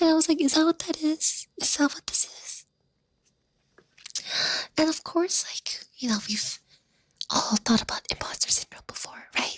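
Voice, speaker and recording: Whispering at a moderate pace with long, frequent pauses, the voice has a dry, close sound with no echo. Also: woman. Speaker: ASMR content creator. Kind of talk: casual talk to camera. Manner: whispered, soft-spoken.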